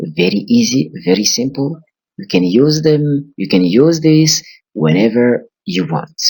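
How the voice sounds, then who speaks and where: The speech moves at a very slow pace with very wide pitch swings. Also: man. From Burkina Faso. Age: 20s. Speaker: English teacher. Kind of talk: language lesson.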